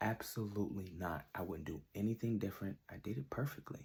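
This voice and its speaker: Dark, mellow tone from a man, somewhat breathy. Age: 30s. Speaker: R&B singer and songwriter. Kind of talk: self-interview answering questions. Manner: casual, with filler words.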